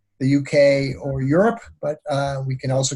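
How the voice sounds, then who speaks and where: A man speaks with an American accent at a fairly high pitch. His tone is dark and mellow, and somewhat breathy. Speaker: online course instructor. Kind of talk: virtual graduation ceremony. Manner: hesitant, many fillers.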